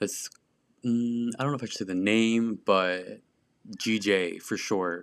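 On a very clean recording with a silent background, a man with an American accent speaks at a medium pitch and fairly even intonation. His pace is very slow, broken by long, frequent pauses. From small conservative US town. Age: 20s. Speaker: podcast host. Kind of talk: casual monologue. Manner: casual, filler-heavy.

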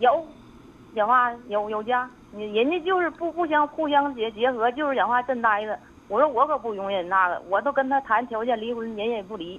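A woman speaks at a high pitch and a moderate pace, her intonation lively. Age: 40s. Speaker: caller. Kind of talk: phone call-in. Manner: halting.

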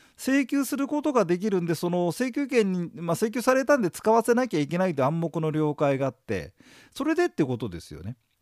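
The voice moves at a fairly quick pace with very wide pitch swings on a very clean recording with a silent background. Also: man, high pitch for a man. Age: 50s. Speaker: exam prep lecturer. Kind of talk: lecture. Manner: casual, filler-heavy.

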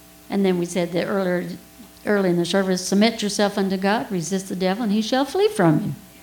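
Over noticeable background noise and audible room echo, the speech runs at a very fast pace with fairly even intonation. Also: woman, medium pitch for a woman. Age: 60s. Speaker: preacher. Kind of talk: sermon. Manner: conversational, audience questions.

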